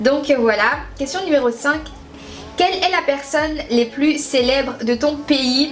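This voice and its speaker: Fairly slow speech from a woman over background music. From Haiti, moved to France at six or seven. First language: Haitian Creole (speaking French). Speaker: beauty youtuber. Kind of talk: casual vlog chat. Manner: chatty, lots of hesitations.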